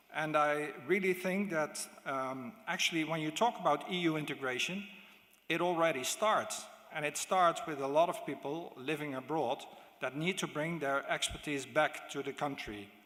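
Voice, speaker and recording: This voice moves at a moderate pace with ordinary pitch variation in a Dutch accent. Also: man, fairly high pitch for a man. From Netherlands. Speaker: diplomat. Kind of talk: conference speech. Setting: stage with audience. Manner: halting.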